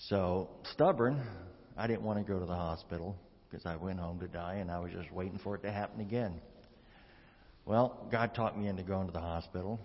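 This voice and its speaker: Despite long, frequent pauses, a man with a very deep, low voice keeps a fairly quick pace and ordinary pitch variation. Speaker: congregation member sharing testimony. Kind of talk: testimony. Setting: church.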